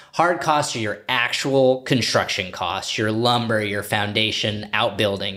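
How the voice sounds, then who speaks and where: Over noticeable background noise, a man with a fairly low pitch and energetic tone speaks at a fairly slow pace, with hardly any pauses and ordinary pitch variation. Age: 30s. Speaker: podcast host, real estate broker. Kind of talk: casual interview.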